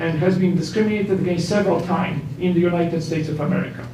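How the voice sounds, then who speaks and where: Through noticeable background noise and audible room echo, a man talks at a fairly quick pace with a high pitch. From Poland. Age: 50s. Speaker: professor. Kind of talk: public comment at council meeting.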